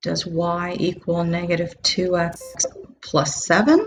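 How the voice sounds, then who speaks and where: A woman's fairly low voice has a somewhat breathy quality. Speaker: math teacher. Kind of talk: lecture. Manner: casual.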